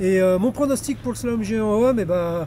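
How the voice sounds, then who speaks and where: A man speaks at a high pitch with lively intonation and a moderate pace. Noticeable background noise runs behind him. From France. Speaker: sports photo manager. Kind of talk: ski race predictions for camera.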